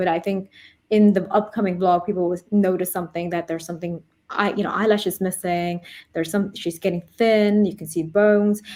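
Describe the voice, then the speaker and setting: A woman with an American accent speaks at a moderate pace and medium pitch in a monotone, flat intonation, in a very clean recording with a silent background. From Denmark. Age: 30s. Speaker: YouTube vlogger, cancer patient. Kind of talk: interview testimony. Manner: halting; mumbling.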